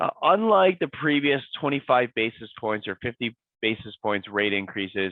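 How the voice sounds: A raspy man at medium pitch talks at a moderate pace with ordinary pitch variation, in a dry, close sound with no echo.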